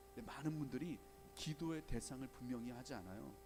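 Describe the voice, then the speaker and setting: The speaker is a man. His words come at a fairly quick clip. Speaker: guest pastor. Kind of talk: sermon. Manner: fast.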